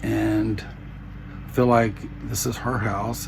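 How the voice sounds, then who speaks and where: A man speaks with a Southern US accent. Noticeable background noise runs under his voice. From US South. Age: 60s. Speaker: vlogger. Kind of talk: personal vlog. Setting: home bedroom. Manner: halting.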